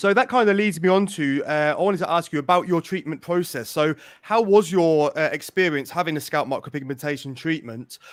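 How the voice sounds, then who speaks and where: A man with an English accent talks at a fairly quick pace. His pitch is fairly high with ordinary variation. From England. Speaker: podcast host. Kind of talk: interview.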